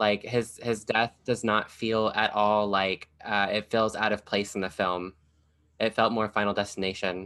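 A man speaks at a fairly low pitch in a bright, sharp tone with monotone, flat intonation. His pace is fairly slow. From US South, Kentucky. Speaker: podcast host and drag performer. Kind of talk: casual chat.

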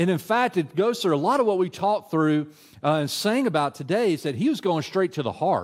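A man with a Tennessee accent speaks at a fairly quick pace, high in pitch, with lively intonation and very even loudness. The recording is very clean, with a silent background. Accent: Tennessee Southern. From West Tennessee, US South. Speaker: adult minister. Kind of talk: sermon. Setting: church. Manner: casual with many filler words.

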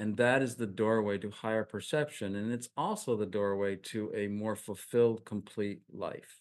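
A man with an ordinary speaking voice and an American accent talks at a moderate pace. His pitch is fairly low, and the background is quiet. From upstate New York. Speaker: minister and spiritual teacher. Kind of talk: spiritual interview.

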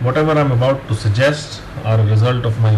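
Noticeable background noise accompanies a man whose delivery is fairly quick. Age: 30s. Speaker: fitness podcaster. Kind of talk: tutorial.

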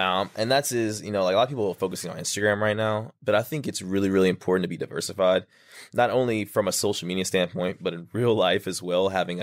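A man with an American accent talks at a very fast pace, his voice very deep and low. His intonation is fairly even, in a very clean recording with a silent background. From Texas, small town. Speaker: fitness influencer. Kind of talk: interview, casual storytelling.

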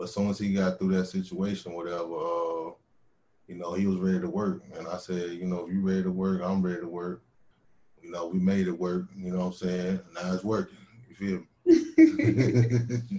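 A man speaks with a very deep, low pitch. His intonation is flat and monotone, in a slight Southern accent. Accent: slight southern drawl. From North Carolina, Winston-Salem. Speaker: hip hop artist. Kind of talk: casual chat.

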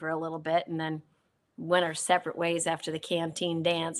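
The voice has a bright, sharp tone and an Upper Midwest accent. The recording is very clean, with a silent background. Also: woman. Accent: Upper Midwest American. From Minnesota, South Saint Paul. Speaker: former TV producer and politician. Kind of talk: interview.

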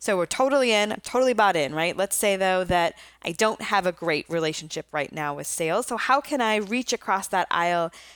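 In a very clean recording with a silent background, a woman with an unremarkable speaking voice and medium pitch talks at a fairly quick pace with lively intonation. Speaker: podcast host and marketing executive. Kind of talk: interview.

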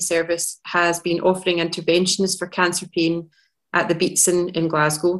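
A woman speaks at a moderate pace with fairly low pitch in an ordinary speaking voice. The background is quiet. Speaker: clinical nurse specialist, cancer pain. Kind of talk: webinar presentation. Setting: online webinar.

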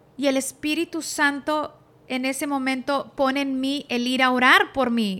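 A woman's high-pitched, bright, sharp voice with fairly even intonation, in a Spanish accent. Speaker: pastor's wife. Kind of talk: testimony.

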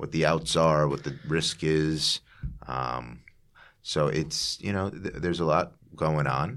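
A man with an American accent speaks very slowly in a very deep, low voice with vocal fry and ordinary pitch variation. The recording is very clean, with a silent background. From US Northeast, Long Island, New York. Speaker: businessman and investor. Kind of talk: casual chat. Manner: halting, many fillers.

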